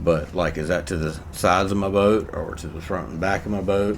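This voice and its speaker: A man's very deep, low voice at a moderate pace, with fairly even intonation, audible room echo and noticeable background noise. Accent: American. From USA. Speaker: gaming YouTuber. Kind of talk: gameplay commentary. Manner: casual, rambling with many fillers.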